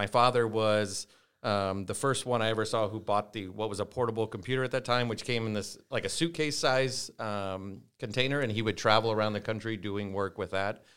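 Fairly quick and fairly low, a man's voice with a Midwestern US accent and ordinary pitch variation comes through a very clean recording with a silent background. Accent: US Midwest. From Nebraska, Norfolk. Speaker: company CEO. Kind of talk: interview.

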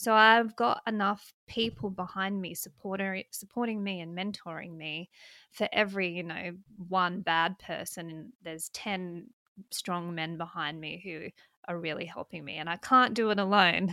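A woman with an Australian accent, medium pitch, and a bright, sharp tone, at a moderate pace with fairly even intonation and big swings in loudness, in a very clean recording over a silent background. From South Australia, country. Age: 30s. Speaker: political commentator and libertarian politician. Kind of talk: casual interview.

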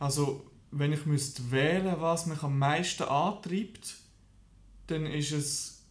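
Somewhat breathy, a man talks at a very slow pace in a fairly high pitch with fairly even intonation. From Switzerland, canton of Lucerne. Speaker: small business founder. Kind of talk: interview. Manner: halting.

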